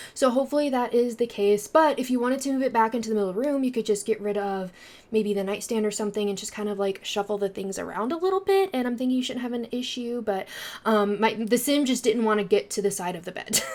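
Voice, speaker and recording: Very fast and fairly high in pitch, a woman speaks with ordinary pitch variation over noticeable background noise. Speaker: gaming YouTuber. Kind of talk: casual voiceover commentary.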